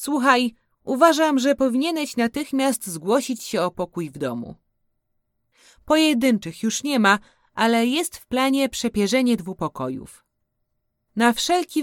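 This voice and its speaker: The recording is very clean with a silent background and a dry, close sound with no echo, carrying a voice with lively intonation at a fairly slow pace. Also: woman. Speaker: letter reader. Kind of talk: reading aloud a literary letter, scripted and intimate.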